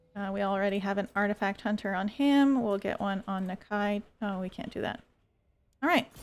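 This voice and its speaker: A woman with an unremarkable speaking voice talks at a moderate pace and medium pitch, her intonation fairly even, on a very clean recording with a silent background. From Quebec (French Canada). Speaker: video game streamer. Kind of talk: gameplay livestream commentary with chat. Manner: casual, conversational.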